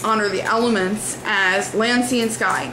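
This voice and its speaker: Through audible room echo and noticeable background noise, a woman speaks at a fairly slow pace in a fairly high pitch with fairly even intonation. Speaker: religious vlogger. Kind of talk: video response commentary. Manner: hesitant fillers.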